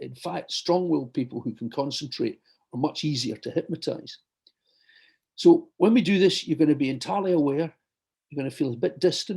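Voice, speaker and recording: A somewhat breathy, dark and mellow tone at a very fast pace, with lively intonation. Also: man. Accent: Glasgow. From Scotland, Glasgow. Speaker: surgeon and hypnotherapist. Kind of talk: talk before guided hypnosis session. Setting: video call.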